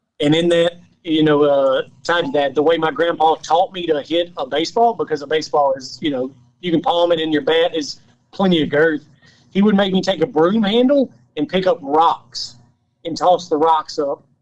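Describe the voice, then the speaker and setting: This man's voice sits fairly high. The rise and fall of his pitch is ordinary. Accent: Southern US. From Louisiana. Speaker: off-road racer and engineer. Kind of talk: podcast interview.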